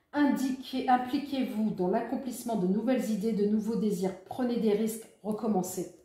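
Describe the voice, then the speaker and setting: A woman's fairly high-pitched voice at a moderate pace, with audible room echo. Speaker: tarot reader. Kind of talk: tarot reading guidance.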